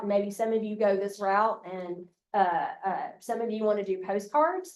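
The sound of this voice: A woman with an Alabama accent talks at a fairly slow pace, her medium pitch held to fairly even intonation. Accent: Alabama Southern.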